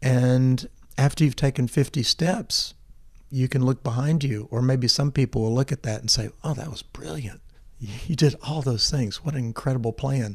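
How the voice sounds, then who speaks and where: A somewhat breathy man's voice with an American accent, a medium pitch and ordinary pitch variation. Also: moderate pace. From US South, Memphis, Tennessee. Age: 60s. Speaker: agricultural scientist, seed vault founder. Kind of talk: interview conversation. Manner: hesitant, with fillers and repetitions.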